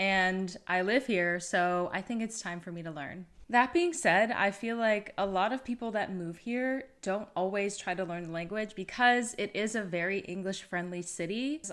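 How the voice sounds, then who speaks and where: A woman's normal speaking voice with an American accent, medium pitch and ordinary pitch variation, at a moderate pace with hardly any pauses, in a very clean recording with a silent background. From United States. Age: 30s. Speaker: vlogger. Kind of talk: casual vlog talk to camera.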